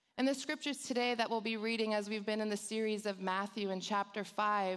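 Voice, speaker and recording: A woman speaks at a fairly quick pace in a medium pitch. Her pitch varies in an ordinary way. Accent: Californian. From Los Angeles, San Fernando Valley. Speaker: church youth director. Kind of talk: sermon. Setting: church with congregation. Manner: animated.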